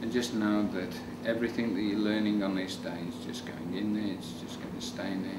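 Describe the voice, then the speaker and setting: A male voice talks through loud background noise. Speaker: hypnotist. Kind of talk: hypnosis induction. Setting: demonstration on camera with a volunteer. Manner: rapid, repetitive, commanding; soothing, suggestive. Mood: calm, soothing, repetitive. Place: meeting room.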